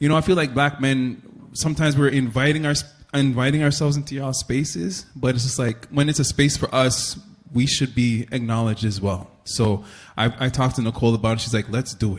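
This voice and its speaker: A man with a Toronto accent speaks at a fairly quick pace and medium pitch, somewhat breathy, with ordinary pitch variation. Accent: Canadian English, Toronto. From Toronto, Canada. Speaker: panel moderator, writer and filmmaker. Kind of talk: live panel discussion. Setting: stage with audience. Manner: animated.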